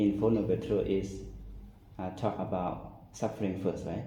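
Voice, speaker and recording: A fairly low male voice, dark, mellow and somewhat breathy, at a fairly slow pace with audible room echo. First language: not English. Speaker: Buddhist monk. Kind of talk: dharma talk. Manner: halting.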